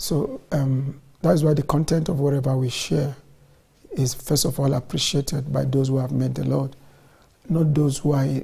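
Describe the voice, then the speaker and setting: A man talks at a moderate pace with fairly even intonation. His voice is somewhat breathy. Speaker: church minister presenting. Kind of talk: sermon-style introduction. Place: studio.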